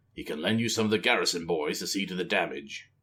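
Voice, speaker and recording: Putting on a growling character voice, a man talks very fast at a fairly low pitch with ordinary pitch variation, recorded very cleanly against a silent background. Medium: read story. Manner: growling, cool.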